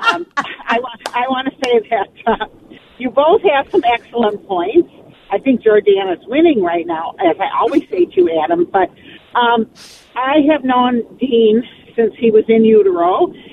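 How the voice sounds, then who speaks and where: Noticeable background noise runs under fairly slow speech in an American accent. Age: 70s. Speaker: caller. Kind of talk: casual chat. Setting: phone call.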